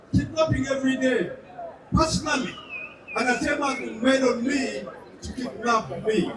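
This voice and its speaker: With a strong Nigerian accent, a man speaks at an extremely high pitch with ordinary pitch variation and a moderate pace, taking long, frequent pauses, amid audible room echo and noticeable background noise. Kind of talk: speech.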